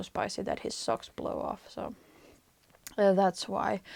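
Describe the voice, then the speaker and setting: Speaking with a Finnish accent at a moderate pace, a woman with a medium pitch is captured in a very clean recording with a silent background and a dry, close sound with no echo. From Finland. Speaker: knitting podcaster. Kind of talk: casual vlog monologue. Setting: attic of apartment. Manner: hesitant, many fillers.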